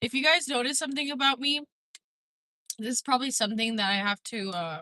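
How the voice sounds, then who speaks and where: The voice has a bright, sharp tone and lively intonation, moving at a very fast pace in a dry, close sound with no echo. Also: woman, high pitch for a woman. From Mexico. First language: Spanish. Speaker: livestreamer. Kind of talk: casual livestream chat. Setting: in a car, driving. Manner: rambling, filler-heavy.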